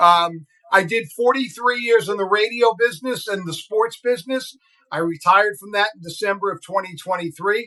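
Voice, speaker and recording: A man's raised, projected voice with an American accent, high pitch, big swings in loudness and a moderate pace. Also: ordinary pitch variation. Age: 60s. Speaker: radio broadcaster and podcast co-host. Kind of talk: casual chat.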